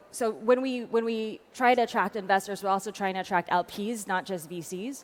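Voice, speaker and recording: This voice moves at a fairly quick pace with an American accent and ordinary pitch variation. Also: woman. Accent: American-sounding. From France. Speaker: tech policy advocate. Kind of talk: panel discussion. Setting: conference stage. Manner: fast, many fillers.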